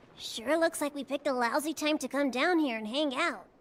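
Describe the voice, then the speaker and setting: A put-on character voice, high in pitch, moves at a fairly quick pace. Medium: fan dub. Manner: blunt, scolding.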